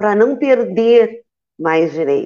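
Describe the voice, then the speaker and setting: A woman speaks at a medium pitch with lively intonation. She has a plain, everyday voice. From Santa Vitória do Palmar, Rio Grande do Sul, Brazil. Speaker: teacher and trade union director. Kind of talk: panel discussion on live web show.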